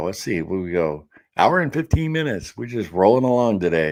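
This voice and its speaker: A man speaks at a fairly quick pace on a very clean recording with a silent background. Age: 50s. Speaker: live stream host. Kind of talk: casual live stream chat, reading comments. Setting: live stream. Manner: casual, conversational.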